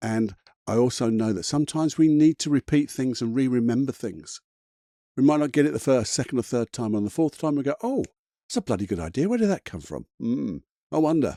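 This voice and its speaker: On a very clean, dry, close recording with no echo and a silent background, a man talks at a fairly quick pace in a dark, mellow tone with lively intonation. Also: medium pitch for a man. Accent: British. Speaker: motivational coach. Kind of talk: motivational talk. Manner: fast; animated.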